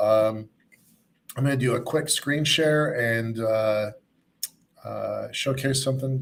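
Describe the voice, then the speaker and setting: At a fairly slow pace with long, frequent pauses, a man speaks in a somewhat breathy voice of medium pitch and fairly even intonation. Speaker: event host. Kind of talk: live online event hosting. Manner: halting, many fillers.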